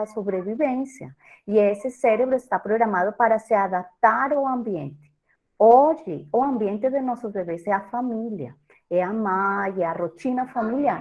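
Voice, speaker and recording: With a Colombian accent, a woman speaks at a moderate pace in a fairly high pitch with lively intonation. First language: Spanish (speaking Portuguese). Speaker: professor and breastfeeding consultant. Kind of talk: lecture.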